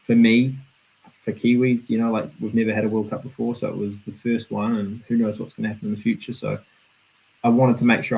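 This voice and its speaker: A man is speaking. He has a New Zealand accent. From New Zealand, Auckland. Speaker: professional BMX racer. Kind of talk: casual interview chat.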